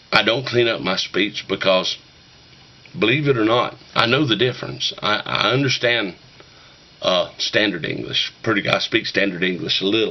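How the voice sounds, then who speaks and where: Someone with an Appalachian accent speaks at a moderate pace with lively intonation, with noticeable background noise behind them. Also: man. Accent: Appalachian mountain dialect. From Western North Carolina, Appalachian mountains. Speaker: YouTuber talking about shape note singing. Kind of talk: casual monologue to camera. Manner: folksy, rambling.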